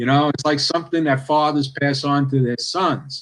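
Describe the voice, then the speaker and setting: This man has a fairly high pitch and a slight New York City accent. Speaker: cigar industry guest. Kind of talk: podcast interview.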